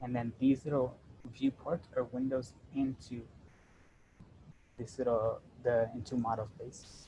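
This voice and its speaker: This man speaks at medium pitch. His tone is dark, mellow and somewhat breathy. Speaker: workshop presenter teaching AutoCAD. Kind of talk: tutorial. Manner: fast; casual, with many fillers.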